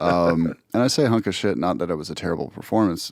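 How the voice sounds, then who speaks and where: A man speaks with a very deep, low pitch, very wide pitch swings, and vocal fry. His pace is fairly quick, and the sound is dry and close with no echo. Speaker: podcast co-host and musician. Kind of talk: casual chat. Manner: animated.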